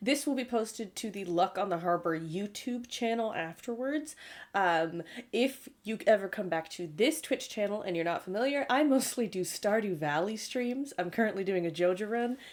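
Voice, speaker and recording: A woman with a Canadian accent speaks at a medium pitch and a moderate pace, in an unremarkable speaking voice. Her intonation is lively, and the recording is very clean with a silent background. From Canada. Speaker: art director and streamer. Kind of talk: livestream Q&A introductions. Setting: livestream.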